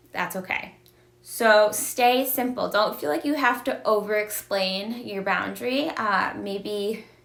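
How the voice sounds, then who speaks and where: The pitch varies in an ordinary way. There is audible room echo around the voice. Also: woman. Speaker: domestic violence advocate. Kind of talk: educational livestream talk. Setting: live video stream.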